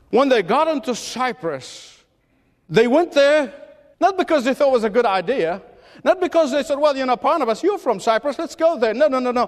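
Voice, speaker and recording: A man with an extremely high pitch talks with long, frequent pauses. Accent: non-native. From Middle East. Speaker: pastor. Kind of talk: sermon. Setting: church.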